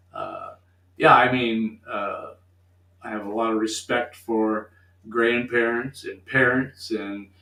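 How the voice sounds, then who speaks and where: A man talks at a very slow pace in a medium pitch. His intonation is monotone and flat, and there is noticeable background noise. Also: big swings in loudness. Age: 70s. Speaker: retired teacher and coach. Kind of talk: casual interview chat. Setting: live-streamed radio studio show. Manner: hesitant, with many fillers.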